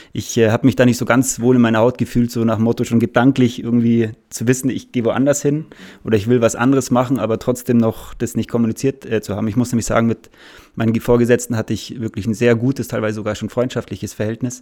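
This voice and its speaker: Over a silent background in a very clean recording, a man with a dark, mellow tone and medium pitch talks at a very fast pace in a monotone, flat intonation. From Munich, Bavaria. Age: 30s. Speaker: salesperson. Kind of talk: casual interview.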